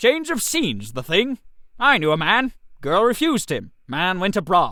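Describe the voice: Using a put-on character voice, a man talks in a bright, sharp tone at a high pitch with very wide pitch swings and a fairly slow pace.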